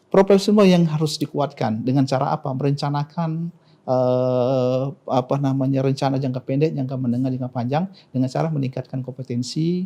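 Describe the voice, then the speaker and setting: A man talks fairly quickly at a medium pitch, with ordinary variation in it. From South Sumatra, Indonesia. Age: 40s. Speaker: provincial government official, doctor. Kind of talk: interview. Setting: studio podcast. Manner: halting, with many fillers.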